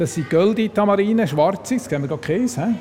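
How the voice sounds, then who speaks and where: Over noticeable background noise, a man speaks at a very fast pace. His intonation is lively. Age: 60s. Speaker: zoo biologist. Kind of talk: guided zoo tour.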